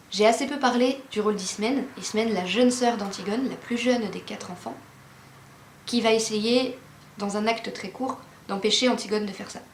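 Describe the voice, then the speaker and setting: Big swings in loudness, long, frequent pauses, audible room echo and noticeable background noise. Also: woman, fairly high pitch for a woman, fairly even intonation, moderate pace. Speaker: literature explainer youtuber. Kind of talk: educational explainer.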